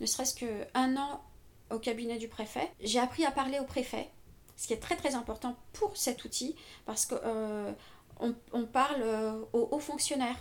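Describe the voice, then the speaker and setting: A woman talks at a fairly slow pace with a high pitch and ordinary pitch variation. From Paris, France. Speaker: civil servant. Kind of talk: interview. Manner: halting.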